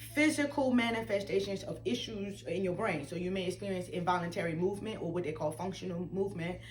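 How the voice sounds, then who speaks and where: A woman at medium pitch, talking very fast with lively intonation, audible room echo around her. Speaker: patient sharing medical journey. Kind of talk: interview. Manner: halting.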